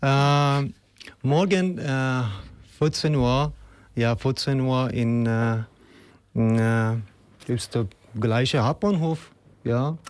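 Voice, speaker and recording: Very slowly and with long, frequent pauses, a man talks at a medium pitch with ordinary pitch variation and very even loudness. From Afghanistan. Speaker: refugee and activist. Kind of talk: interview. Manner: halting.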